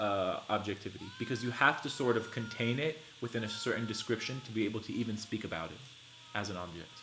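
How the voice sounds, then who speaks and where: A man speaks at a medium pitch with ordinary pitch variation and a very fast pace. Noticeable background noise runs behind him. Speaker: livestreamer reading and discussing a book. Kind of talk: live-stream reading and commentary. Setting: live stream. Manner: animated.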